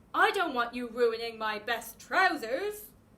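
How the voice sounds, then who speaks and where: A female-sounding voice growls through a put-on, high-pitched character voice at a fairly slow pace. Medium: read story.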